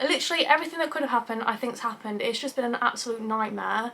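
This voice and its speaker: Against noticeable background noise, a woman in an English accent speaks with a high pitch and ordinary pitch variation. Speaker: YouTuber. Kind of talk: vlog.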